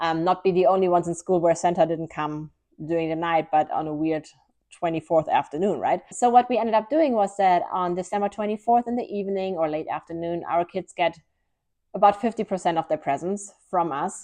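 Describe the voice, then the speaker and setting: A woman speaks at a fairly quick pace in a fairly low pitch, with ordinary pitch variation over a quiet background. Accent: German. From Germany. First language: German. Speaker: lifestyle vlogger. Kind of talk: casual vlog talk to camera.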